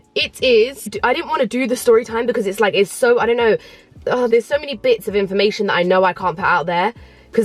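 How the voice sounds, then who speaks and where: With a London accent, a woman talks at a very fast pace over music in the background. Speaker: YouTuber. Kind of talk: vlog storytime. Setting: parked in a car. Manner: fast, chatty.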